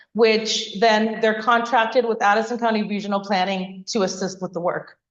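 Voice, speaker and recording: A woman speaks at a fairly high pitch. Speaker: community planner. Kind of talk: public meeting presentation. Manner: fast; loud.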